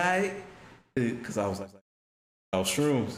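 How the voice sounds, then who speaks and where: This is a man with an American accent. Audible room echo can be heard. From Chicago. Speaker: streamer's friend. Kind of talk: casual chat. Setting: livestream. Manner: quiet. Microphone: too quiet for the mic.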